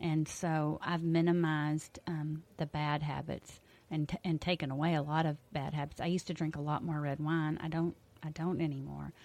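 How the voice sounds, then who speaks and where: Speaking at a moderate pace in a Texan accent, a woman uses a very deep, low pitch and a monotone, flat intonation. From Texas Hill Country. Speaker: health coach and teacher. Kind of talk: radio interview. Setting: radio studio.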